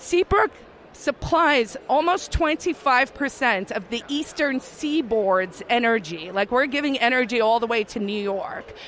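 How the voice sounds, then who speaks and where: Over noticeable background noise, a woman speaks very slowly at a high pitch, her voice making very wide pitch swings. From South Africa. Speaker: libertarian activist and former lawyer. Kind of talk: interview.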